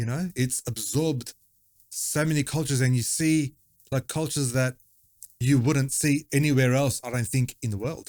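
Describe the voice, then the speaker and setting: The speaker has a slight Macedonian accent and fairly even intonation at a moderate pace. The sound is dry and close, with no echo. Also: man, medium pitch for a man. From Australia, Macedonian-speaking home. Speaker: musician. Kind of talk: casual chat.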